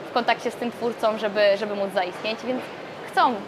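Noticeable background noise runs behind this recording. A woman talks with fairly even intonation. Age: 20s. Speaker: startup co-founder. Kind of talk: interview.

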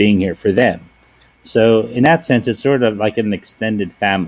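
A plain, everyday voice from a man with an American accent, fairly low in pitch, at a moderate pace with ordinary pitch variation. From US Northeast, Philadelphia. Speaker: restaurant owner. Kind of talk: casual interview.

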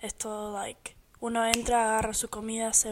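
A woman's monotone, flat intonation. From United States (born in Argentina). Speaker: podcast co-host. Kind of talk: casual chat.

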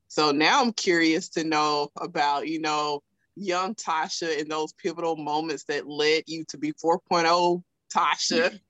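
Against a quiet background, a woman with a strong Southern US accent speaks at a fairly slow pace in a very deep, low pitch, her intonation fairly even and the sound dry and close with no echo. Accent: thick Southern US. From South Alabama. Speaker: podcast host. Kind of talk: casual interview chat.

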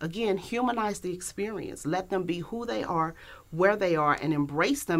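With lively intonation and a fairly low pitch, a woman speaks in a very clean recording with a silent background. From St. Louis, Missouri. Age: 40s. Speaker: college staff coordinator and pastor. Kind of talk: interview conversation.

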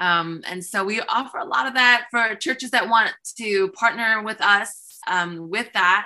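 This woman has a plain, everyday voice. Her pitch shows ordinary variation. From US (Korean-born, moved at three to four). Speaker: pastor and speaker. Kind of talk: interview.

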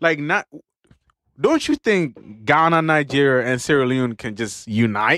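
This man's voice sits fairly high in pitch and has a bright, sharp tone. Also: lively intonation, fairly slow pace. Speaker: podcast host. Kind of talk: casual chat.

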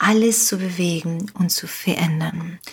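A somewhat breathy woman's voice at medium pitch, with a Spanish accent. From Uruguay. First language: Spanish (speaking German). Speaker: life coach. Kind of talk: motivational podcast monologue. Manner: animated.

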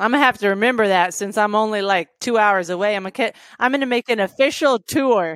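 A woman with an American accent and a normal speaking voice talks at a fairly quick pace, her pitch fairly high with ordinary variation, in a very clean recording with a silent background. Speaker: podcast host and landlord.

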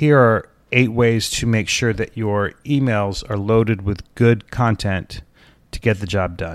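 A man's normal speaking voice at medium pitch, with ordinary pitch variation and a fairly slow pace, on a very clean recording with a silent background. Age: 50s. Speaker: podcast host. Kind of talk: solo podcast tutorial.

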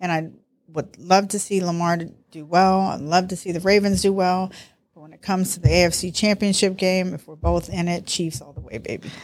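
A medium-pitched woman with an American accent, fairly even intonation, big swings in loudness and a fairly quick pace in a very clean recording with a silent background. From US East Coast (New York and Baltimore). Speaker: host's mother, football fan. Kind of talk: casual chat.

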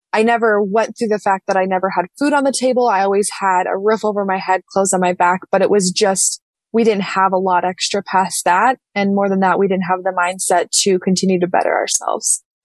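In an unremarkable speaking voice of medium pitch, a woman talks at a fairly quick pace with hardly any pauses, fairly even intonation and very even loudness, the sound dry and close with no echo. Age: 20s. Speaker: real estate agent and author. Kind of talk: podcast interview.

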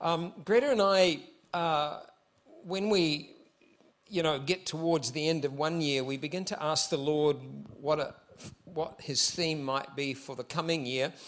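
A man with a New Zealand accent at a fairly high pitch and fairly slow pace, with ordinary pitch variation and long, frequent pauses. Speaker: visiting pastor. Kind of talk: sermon. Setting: church service.

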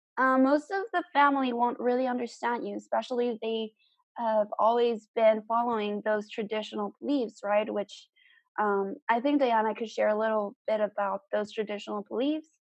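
Using a normal speaking voice, a woman talks at a moderate pace with a fairly high pitch and fairly even intonation. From South Texas. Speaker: podcast co-host. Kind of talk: casual chat.

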